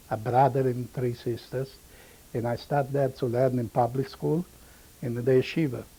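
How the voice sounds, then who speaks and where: Somewhat breathy, a man talks at a medium pitch and moderate pace with a dark, mellow tone and fairly even intonation. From Romania (Maramures region). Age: 70s. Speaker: Holocaust survivor. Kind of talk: oral history testimony. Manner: halting, broken English.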